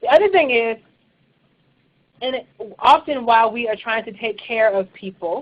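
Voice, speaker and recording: A woman's intonation is lively, and she keeps a moderate pace. Her pauses are long and frequent. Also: fairly high pitch for a woman. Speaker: church leadership trainer. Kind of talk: webinar presentation. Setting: online webinar.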